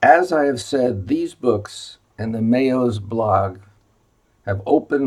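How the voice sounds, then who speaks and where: Very slowly and somewhat breathily, a man with an American accent speaks at medium pitch with ordinary pitch variation. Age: 70s. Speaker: retired physician. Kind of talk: informational video presentation. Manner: halting with many fillers.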